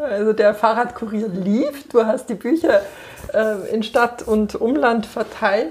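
Very slow speech against noticeable background noise. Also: woman, fairly high pitch for a woman, ordinary pitch variation. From Bavaria, Munich. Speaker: podcast host and coach. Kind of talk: casual interview. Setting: on a couch in a bookshop.

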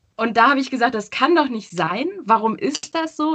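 Very wide pitch swings run through the woman's speech. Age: 20s. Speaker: social media professional. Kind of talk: interview. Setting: video call. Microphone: poor sound quality via video call.

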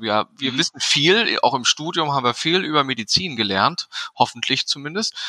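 With a dry, close sound and no echo, a man with an ordinary speaking voice talks at a moderate pace using lively intonation. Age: 40s. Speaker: physician and medical association board member. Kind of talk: interview.

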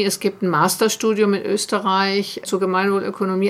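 A woman talks in a plain, everyday voice. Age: 50s. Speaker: organisational development consultant. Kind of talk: interview.

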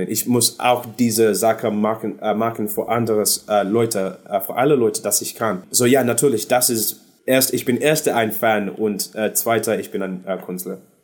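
A man with an English accent at a moderate pace. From London, England (born in Zimbabwe). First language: English (speaking German). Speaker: singer. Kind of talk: casual interview. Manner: halting, searching for German words.

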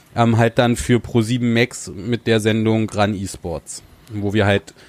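A man's fairly even intonation comes across in a dry, close sound with no echo. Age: 30s. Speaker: TV presenter. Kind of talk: casual chat. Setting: inn.

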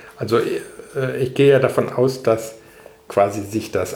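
A man's fairly even intonation comes through audible room echo and clear background noise. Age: 50s. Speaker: professor. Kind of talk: interview. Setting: institute office.

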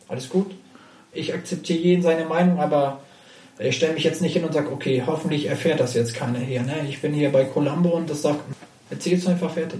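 Over noticeable background noise and audible room echo, a man with a fairly high pitch speaks very fast with fairly even intonation. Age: 30s. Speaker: professional poker player. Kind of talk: casual interview chat. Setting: in person, sitting face to face.

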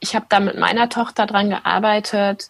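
Delivery runs fairly slowly. There is a somewhat breathy quality to the voice. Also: woman. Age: 30s. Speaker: attachment parenting blogger and mother. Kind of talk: interview.

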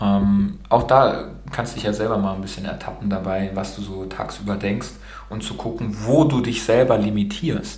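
A man with a fairly low pitch and fairly even intonation speaks at a moderate pace amid noticeable background noise and audible room echo. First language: bilingual German and Romanian (speaking German). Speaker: podcast host. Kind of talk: casual interview.

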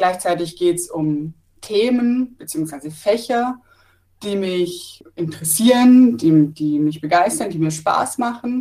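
A woman's very slow speech, medium in pitch, dark and mellow in tone, with very wide pitch swings. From Pforzheim, Baden-Württemberg. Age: 30s. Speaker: trainee teacher. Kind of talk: interview.

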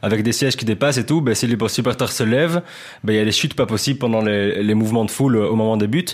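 A man rattles along very fast, his pitch varying in an ordinary way. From Belgium. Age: 20s. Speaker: journalist. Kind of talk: casual chat.

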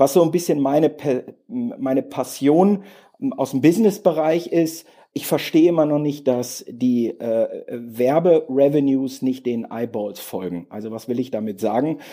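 A man speaks at a fairly slow pace in a fairly high pitch, his dark, mellow tone carried by lively intonation. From Westphalia, Germany. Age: 40s. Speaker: tech company managing director. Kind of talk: podcast interview. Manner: hesitant, many fillers.

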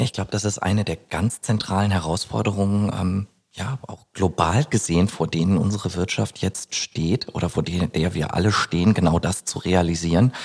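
Hardly pausing at all, a man with a very deep, low pitch speaks at a moderate pace with ordinary pitch variation. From Germany, East Westphalia. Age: 30s. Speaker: labour market expert. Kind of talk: interview conversation. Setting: studio overlooking city skyline.

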